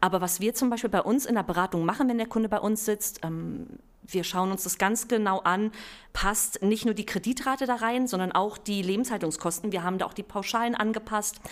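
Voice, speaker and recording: A woman with an ordinary speaking voice talks at a fairly quick pace, her fairly high pitch showing ordinary variation on a very clean recording with a silent background. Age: 30s. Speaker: bank real estate expert. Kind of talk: podcast interview.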